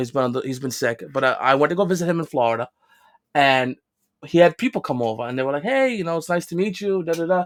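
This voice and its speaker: A man talks very fast with a strong New York accent. The sound is dry and close with no echo, and his pitch varies in an ordinary way. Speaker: podcast co-host. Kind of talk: casual chat. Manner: animated.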